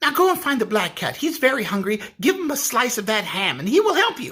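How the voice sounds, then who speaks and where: A man uses a put-on character voice, squeaky and extremely high in pitch. He talks at a fairly quick pace. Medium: read story.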